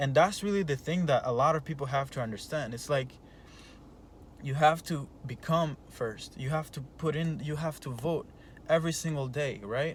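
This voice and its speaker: A man with a non-native accent and a fairly high, somewhat breathy voice, at a moderate pace with ordinary pitch variation. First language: not English. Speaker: entrepreneur coach. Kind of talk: motivational talk. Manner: halting, many repeated words; animated.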